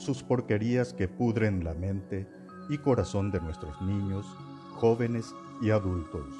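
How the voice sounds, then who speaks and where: Over music in the background, a man with a fairly low pitch talks at a fairly slow pace with lively intonation. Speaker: narrator. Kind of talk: podcast essay narration.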